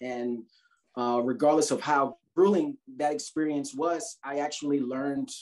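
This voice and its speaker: A man with an American accent talks at a fairly slow pace over a quiet background. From New York City, Brooklyn; New York City. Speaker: sociologist, military veteran, mountaineer; interviewee. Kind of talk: casual interview. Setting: video call. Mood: thoughtful, calm. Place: home room. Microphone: video call.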